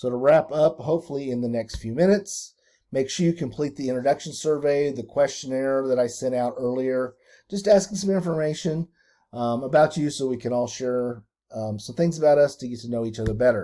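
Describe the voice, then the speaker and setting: Speaking at a fairly quick pace, a man with a dark, mellow tone and medium pitch shows ordinary pitch variation on a very clean recording with a silent background. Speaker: school administrator. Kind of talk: staff training video. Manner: fast.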